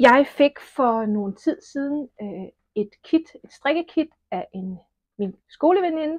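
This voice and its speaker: A woman speaks at a very slow pace and a high pitch, with very wide pitch swings and big swings in loudness. The sound is dry and close, with no echo. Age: 50s. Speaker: knitting podcaster. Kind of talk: casual podcast monologue. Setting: at home alone.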